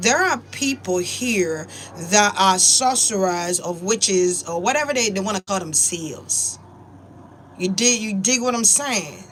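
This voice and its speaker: A woman's lively intonation comes through at a fairly slow pace despite noticeable background noise. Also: medium pitch for a woman. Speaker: spiritual YouTuber. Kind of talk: casual monologue. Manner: animated.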